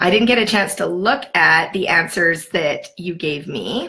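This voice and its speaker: With a Canadian accent, a woman speaks at a very slow pace and medium pitch, her bright, sharp tone carrying vocal fry and lively intonation. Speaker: sales team leader training new consultants. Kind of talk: livestream training session. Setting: live video stream. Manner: casual, chatty.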